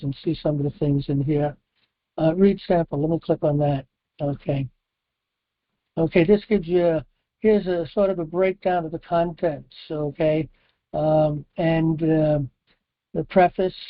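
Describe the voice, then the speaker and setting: With long, frequent pauses throughout, the delivery keeps to a moderate pace. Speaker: open forum host and author of law handbooks. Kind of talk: casual call-in discussion. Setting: phone/online conference call. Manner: halting, many fillers.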